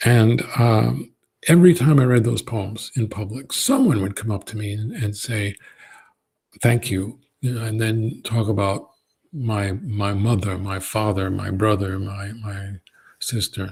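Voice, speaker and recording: Somewhat breathy and fairly slow, the voice carries an American accent with ordinary pitch variation. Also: man, fairly low pitch for a man. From Brooklyn, New York. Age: 60s. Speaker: poet. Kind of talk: Q&A answer at a college event. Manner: halting, many fillers.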